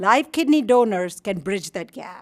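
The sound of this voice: Lively intonation at a moderate pace. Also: woman.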